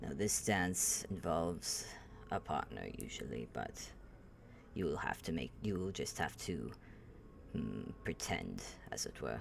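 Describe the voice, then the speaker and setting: Putting on a character voice, a man speaks at a very deep, low pitch and a fairly slow pace with long, frequent pauses, over clear background noise. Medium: actual play. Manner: formal, measured.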